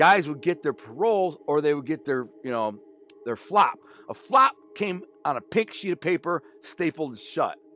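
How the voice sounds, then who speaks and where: A man's fairly high voice in an animated tone, with very wide pitch swings, dry, close sound with no echo, and music in the background. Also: moderate pace. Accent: American. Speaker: former mobster and author. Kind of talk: storytelling interview.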